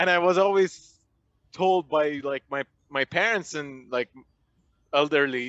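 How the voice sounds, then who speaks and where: A man with an Iranian accent, fairly high pitch, bright, sharp tone, ordinary pitch variation and a fairly slow pace, in a dry, close sound with no echo. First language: Farsi. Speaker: stand-up comedian. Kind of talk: casual chat. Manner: halting, many fillers.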